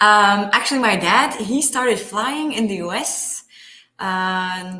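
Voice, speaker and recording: Her tone bright and sharp, a woman speaks at medium pitch and a very slow pace. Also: ordinary pitch variation. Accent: Flemish. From Belgium. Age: 20s. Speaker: paramotor pilot, pharma sales rep. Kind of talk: interview. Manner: halting with many fillers.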